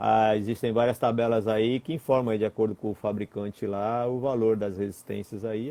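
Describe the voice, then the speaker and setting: This man's voice carries a dark, mellow tone. He talks at a moderate pace. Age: 50s. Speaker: electronics instructor. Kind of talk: technical Q&A lesson. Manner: hesitant, repeats words.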